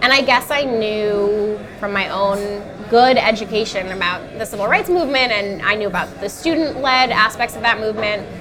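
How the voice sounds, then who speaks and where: A woman's fairly high voice with an American accent and ordinary pitch variation, plus audible room echo and music in the background. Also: moderate pace. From New York City. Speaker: writer and editor. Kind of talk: casual chat over dinner. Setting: restaurant dinner table.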